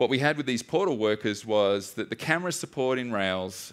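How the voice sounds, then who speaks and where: A man with an Australian accent. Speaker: software developer and DDD instructor. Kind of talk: conference talk. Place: stage.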